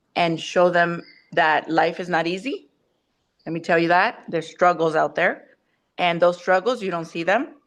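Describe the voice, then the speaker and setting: A woman's fairly low voice, fairly even in intonation, at a moderate pace in a quiet background. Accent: Spanish. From Mexico. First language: Spanish. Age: 40s. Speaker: teacher. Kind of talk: casual family chat. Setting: video call.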